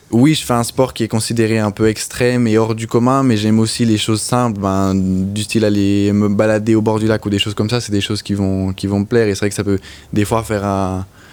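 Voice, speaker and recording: A man's fairly low voice with a slight Swiss French accent, monotone and flat in intonation, with hardly any pauses. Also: fairly quick pace. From French-speaking Switzerland, Lutry. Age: young. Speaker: motorcycle racer. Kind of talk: interview. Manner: halting.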